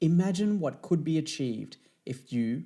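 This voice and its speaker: A man with an Australian accent, dark and mellow in tone, at a moderate pace with lively intonation. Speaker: motivational speaker. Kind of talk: promotional talk. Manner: animated.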